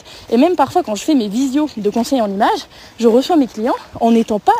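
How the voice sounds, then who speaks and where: Over noticeable background noise, a woman talks at a fairly quick pace with very wide pitch swings, the sound dry and close with no echo. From eastern France, Lorraine (Vosges). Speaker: podcast host, image consultant and coach. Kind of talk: solo podcast talk. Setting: outdoors, walking in a forest. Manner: frank, direct; casual with many fillers.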